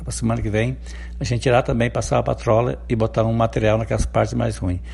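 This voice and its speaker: A man's very deep, low voice with very wide pitch swings. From Rio Grande do Sul, rural interior. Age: 50s. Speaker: city councillor. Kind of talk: radio interview. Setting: interview outside the studio.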